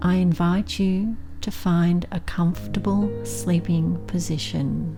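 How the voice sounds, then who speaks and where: Over background music, a woman speaks at a very slow pace. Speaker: meditation guide. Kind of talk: guided sleep meditation. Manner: slow, calm.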